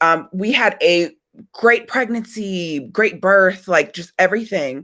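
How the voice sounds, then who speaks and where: At a very slow pace, a woman speaks in a bright, sharp tone with ordinary pitch variation. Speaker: parent advocate and social media creator. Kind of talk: webinar presentation. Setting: live video webinar.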